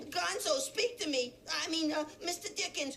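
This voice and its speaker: At a moderate pace, a put-on character voice with an extremely high pitch sounds over clear background noise. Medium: game stream. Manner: wisecracking.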